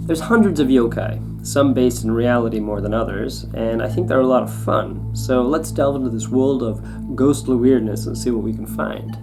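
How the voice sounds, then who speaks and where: The speech runs on with hardly any pauses while music plays in the background. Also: man, moderate pace. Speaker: YouTube host. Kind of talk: documentary-style narration.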